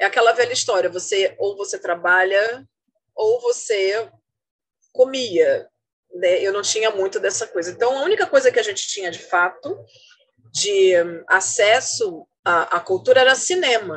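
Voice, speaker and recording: Fairly slow with long, frequent pauses, a woman speaks in a fairly high pitch with lively intonation. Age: 50s. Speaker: journalist and researcher. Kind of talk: casual interview. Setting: online call.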